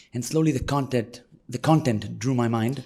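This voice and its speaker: A very fast-talking man with an Israeli accent, medium in pitch, with a dark, mellow tone. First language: Hebrew. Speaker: tour guide and field educator. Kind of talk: interview.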